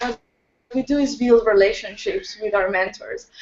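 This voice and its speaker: Someone with a non-native accent talks at a moderate pace. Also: woman. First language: Spanish. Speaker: youth entrepreneurship leader. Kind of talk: interview on video hangout. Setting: video call. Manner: halting.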